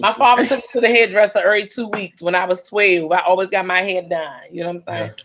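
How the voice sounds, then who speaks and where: In an American accent, a woman speaks at a medium pitch with ordinary pitch variation and a plain, everyday voice. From Washington D.C. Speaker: comedian. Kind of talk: casual chat.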